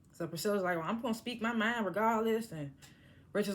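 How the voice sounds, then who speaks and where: A woman's medium-pitched voice at a very fast pace. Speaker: TV show reviewer. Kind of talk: casual recap review. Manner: casual, conversational.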